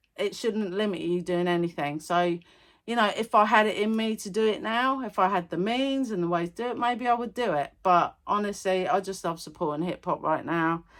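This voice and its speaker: On a very clean recording with a silent background, a woman with an English accent talks at a fairly quick pace, her medium pitch showing ordinary variation. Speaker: music reaction YouTuber. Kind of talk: casual music review vlog. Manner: animated, energetic.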